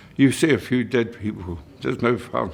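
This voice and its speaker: A man in an English accent at a fairly slow pace. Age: 90s. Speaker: war veteran. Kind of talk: testimony.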